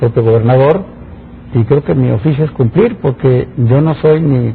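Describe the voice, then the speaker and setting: Over noticeable background noise, a man speaks at a medium pitch and a moderate pace with ordinary pitch variation. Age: 60s. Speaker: engineer and public official. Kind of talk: interview. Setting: studio.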